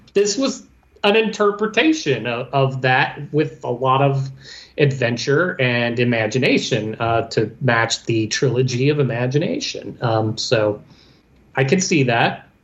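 This man has a medium pitch and a somewhat breathy voice. He speaks at a fairly slow pace with lively intonation. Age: 40s. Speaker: returning podcast co-host. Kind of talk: casual chat.

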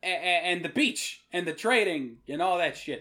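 Bright, sharp tone marks this man's voice, heard with an American accent. He keeps a moderate pace on a very clean recording with a silent background. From US Northeast, Rhode Island. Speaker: podcast host. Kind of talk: casual chat. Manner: irreverent, jokey.

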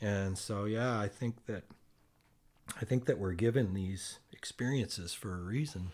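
Delivered at a fairly slow pace with ordinary pitch variation, this is an unremarkable speaking voice. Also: man, fairly low pitch for a man. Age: 60s. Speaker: podcast guest, host's uncle. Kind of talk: casual chat. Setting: in person, face to face.

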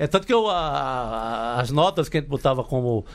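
With lively intonation, a man speaks in a normal speaking voice at a fairly high pitch. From Cariri, Ceará, Brazil. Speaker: journalist and writer. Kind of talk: casual chat. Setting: studio.

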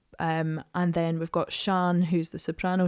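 A woman's fairly low, monotone, flat delivery at a fairly slow pace, in a very clean recording with a silent background. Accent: Edinburgh. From Scotland, Edinburgh. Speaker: singer and actor. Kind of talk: casual chat. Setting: studio.

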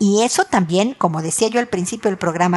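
A woman with a Mexican accent speaks at a moderate pace and a medium pitch. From Mexico. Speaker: relationship advice podcaster. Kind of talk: advice monologue.

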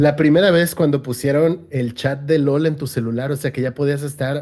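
A man's fairly high-pitched voice carries a dark, mellow tone and fairly even intonation at a moderate pace. The recording is very clean, with a silent background. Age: 30s. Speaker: gaming streamer and podcast co-host. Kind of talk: casual chat.

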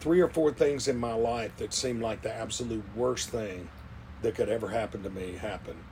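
A man at medium pitch and a moderate pace, with ordinary pitch variation. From Mississippi, Hattiesburg. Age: 60s. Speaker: chef and restaurateur. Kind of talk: interview testimony. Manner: hesitant, many fillers.

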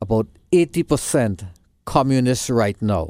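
Lively in intonation, a man with a Trinidadian accent is recorded very cleanly against a silent background, with a dry, close sound and no echo. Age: 60s. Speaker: school board candidate. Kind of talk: interview. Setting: studio.

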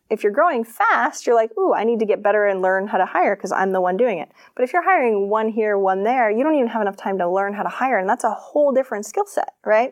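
In an American accent, a woman with an ordinary speaking voice talks at a fairly quick pace, her fairly high pitch carrying lively intonation over a quiet background. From Maine, US. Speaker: business coach. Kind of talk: interview.

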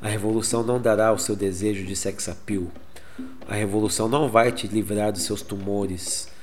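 The speaker talks at a fairly quick clip with a Brazilian accent and fairly even intonation. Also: man, fairly low pitch for a man. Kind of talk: spoken word poem, dubbed Portuguese reading of protest poem. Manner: rhythmic, defiant, incisive delivery.

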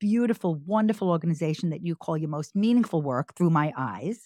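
A woman with an American accent speaks in a dark, mellow tone at a fairly low pitch, with lively intonation. The sound is dry and close with no echo, in a very clean recording with a silent background. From New York, Long Island. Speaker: podcast host. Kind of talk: casual chat.

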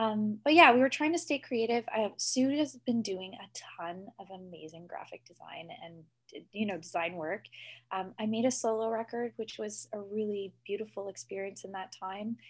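An ordinary speaking voice from a woman with a Canadian accent, fairly high in pitch, with lively intonation, a moderate pace and hardly any pauses. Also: big swings in loudness. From Ontario, Canada. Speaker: folk musician. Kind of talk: interview. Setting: video call.

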